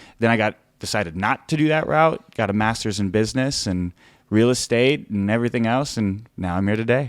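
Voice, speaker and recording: A Californian accent at a fairly quick pace with ordinary pitch variation. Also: man, medium pitch for a man. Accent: Californian American. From northern California (Sacramento). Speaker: political candidate. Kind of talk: interview.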